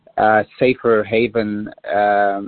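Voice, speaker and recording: A man with a Polish accent. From Poland. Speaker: diplomat. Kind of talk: interview.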